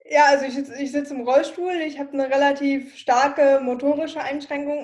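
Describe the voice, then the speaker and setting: At a fairly quick pace, a woman talks with a high pitch. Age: 20s. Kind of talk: interview.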